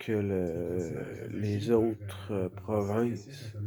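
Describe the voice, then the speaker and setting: A man with a Quebec accent speaks at a fairly low pitch. His tone is dark and mellow. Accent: Québécois French. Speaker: vlogger. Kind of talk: casual vlog monologue. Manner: loud; halting, many hesitations.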